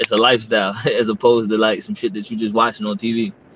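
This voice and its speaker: A man's very fast, medium-pitched speech in an American accent. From Maryland, Prince George's County (US). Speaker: battle rapper. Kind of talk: casual interview chat.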